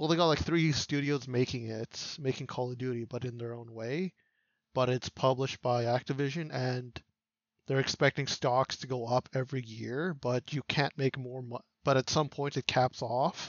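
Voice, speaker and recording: A man's plain, everyday voice at a medium pitch and moderate pace. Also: fairly even intonation. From Canada. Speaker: podcast co-host. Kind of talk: casual chat. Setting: livestream on Twitch.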